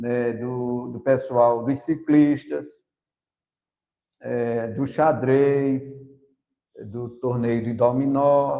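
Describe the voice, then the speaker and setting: Long, frequent pauses break up the speech. The pace is very slow, with ordinary pitch variation. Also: man, medium pitch for a man. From Brazil, Paraíba sertão (Princesa Isabel). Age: 60s. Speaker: teacher and runner. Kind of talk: podcast interview.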